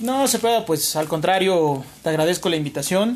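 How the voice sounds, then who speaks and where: A man speaks at a moderate pace. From Mexico, Huamantla, Tlaxcala. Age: 30s. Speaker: entrepreneur, restaurant owner. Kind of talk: interview.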